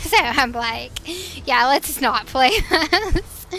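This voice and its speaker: A woman with a Northwestern US accent talks at a very slow pace. Her high voice is raised and projected. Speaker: streamer. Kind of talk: casual gaming livestream chat. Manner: chatty, hesitant with fillers.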